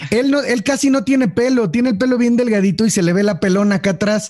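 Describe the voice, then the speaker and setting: The speaker talks at a fairly quick pace with a Mexican accent and very even loudness. Background noise is noticeable. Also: man. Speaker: podcast host. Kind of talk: casual chat.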